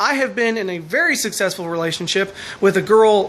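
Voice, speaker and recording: Noticeable background noise sits behind speech delivered at a fairly quick speed. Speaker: vlogger. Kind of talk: advice vlog monologue. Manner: loud.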